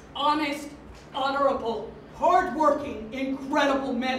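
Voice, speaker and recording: A woman's high-pitched voice with an American accent at a fairly slow pace, over noticeable background noise. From New York City. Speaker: auctioneer. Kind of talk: keynote speech.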